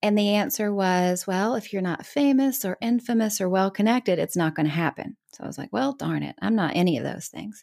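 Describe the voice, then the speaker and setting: An ordinary speaking voice, a woman talks at a fairly quick pace with hardly any pauses and a medium pitch, in a very clean, dry, close recording with no echo and a silent background. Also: lively intonation. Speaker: author and speaker. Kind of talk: casual interview.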